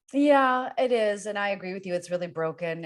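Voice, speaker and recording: In a normal speaking voice, a woman with an American accent talks at a fairly quick pace with lively intonation. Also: very clean recording, silent background. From US, Northern Virginia. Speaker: podcast host. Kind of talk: interview.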